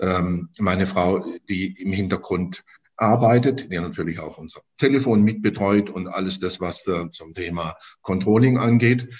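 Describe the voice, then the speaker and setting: A man's fairly low pitch, fairly slow pace and ordinary pitch variation. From Stuttgart, Germany. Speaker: insect screen business owner. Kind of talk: interview. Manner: halting, many repetitions and fillers.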